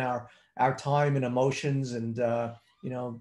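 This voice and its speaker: A man is speaking. His voice is somewhat breathy. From South Africa. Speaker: trading educator. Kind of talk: live webinar presentation. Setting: video webinar from home office. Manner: hesitant with many fillers.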